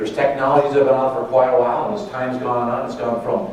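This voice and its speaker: Noticeable background noise and audible room echo surround a man's voice. He speaks at a medium pitch with fairly even intonation. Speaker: sales representative presenting at a conference. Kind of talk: conference presentation. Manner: fast.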